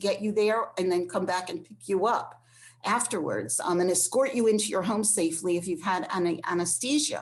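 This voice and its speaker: Against a quiet background, a woman speaks in a medium pitch with a plain, everyday voice. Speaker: transportation program staff presenter. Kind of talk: online presentation. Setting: online session.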